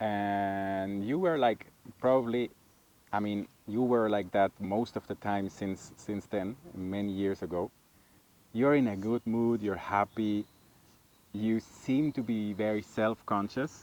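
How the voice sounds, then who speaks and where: A man with a non-native accent speaks at a very slow pace and a fairly low pitch. The sound is dry and close, with no echo. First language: not English. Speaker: vlogger's husband. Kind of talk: casual chat. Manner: hesitant, searching for words.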